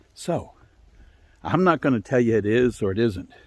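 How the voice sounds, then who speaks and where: This man has an Appalachian accent and a medium pitch. His voice is somewhat breathy. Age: 60s. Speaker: storyteller. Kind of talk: storytelling. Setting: outdoors.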